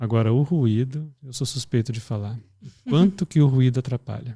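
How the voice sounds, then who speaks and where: Soft-spoken and somewhat breathy, a man talks at a moderate pace in a medium pitch with ordinary pitch variation and a dark, mellow tone, on a very clean recording with a silent background and a dry, close sound with no echo. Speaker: pediatric intensive care professional. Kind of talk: podcast discussion.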